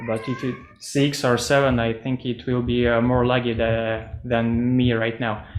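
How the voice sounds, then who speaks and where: Over noticeable background noise and audible room echo, a man with a non-native accent speaks fairly slowly at medium pitch in a monotone, flat intonation. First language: not English. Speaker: metaverse project presenter. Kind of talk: video call presentation Q&A. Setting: video call. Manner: halting, many fillers.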